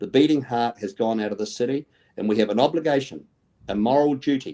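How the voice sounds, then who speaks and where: Someone talks at a very fast pace in a dark, mellow tone with ordinary pitch variation. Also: man, medium pitch for a man. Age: 60s. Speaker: mayoral candidate. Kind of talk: interview. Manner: animated.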